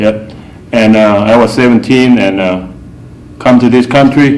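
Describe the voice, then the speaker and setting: A man speaks at a fairly slow pace with a Thai accent and fairly even intonation. Noticeable background noise runs under the recording. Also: medium pitch for a man. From Thailand. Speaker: artist. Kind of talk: personal storytelling interview. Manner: halting, with fillers.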